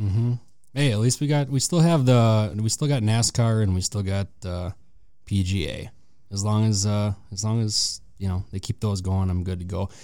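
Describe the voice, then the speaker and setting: A man with an American accent speaks at a moderate pace in a fairly low pitch. His tone is dark and mellow, with ordinary pitch variation. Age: 30s. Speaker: sports fan guest. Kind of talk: casual chat. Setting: studio.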